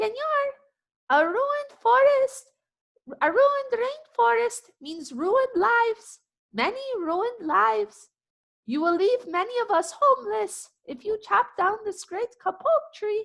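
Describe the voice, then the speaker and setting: A squeaky, put-on character voice from a woman, pitched extremely high, at a fairly slow pace with long, frequent pauses. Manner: pleading, peeping.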